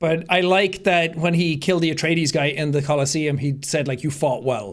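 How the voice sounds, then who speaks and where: An animated man with an American accent, fairly high in pitch, at a moderate pace. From Ireland. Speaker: podcast co-host. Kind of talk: casual chat.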